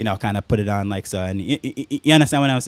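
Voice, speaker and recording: In a very clean recording with a silent background, a man talks in a fairly low pitch. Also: dry, close sound with no echo. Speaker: content creator. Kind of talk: casual live stream talk. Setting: home studio live stream. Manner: fast; filler words, uh and um.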